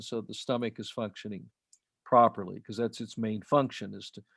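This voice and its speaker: At a moderate pace, a man with an American accent talks with fairly even intonation. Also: very clean recording, silent background. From Utah. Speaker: alternative health author. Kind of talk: interview conversation. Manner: halting, many fillers and restarts.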